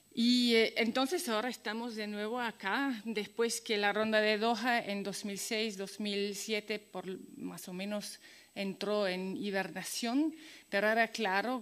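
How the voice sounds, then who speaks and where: Here a woman speaks with a slight Italian accent at a fairly high pitch. Her pace is fairly slow and her intonation fairly even. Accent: some Italian elements in her Spanish. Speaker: activist speaker. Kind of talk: conference talk. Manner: halting, many fillers.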